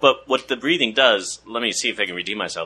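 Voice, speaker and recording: A man with an American accent speaks at a very fast pace. His tone is bright and sharp. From Washington, D.C. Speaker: podcast guest, actor. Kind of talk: casual chat.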